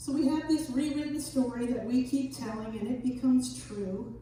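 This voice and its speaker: With lively intonation, a woman speaks over noticeable background noise and audible room echo. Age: 60s. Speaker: minister. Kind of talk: sermon.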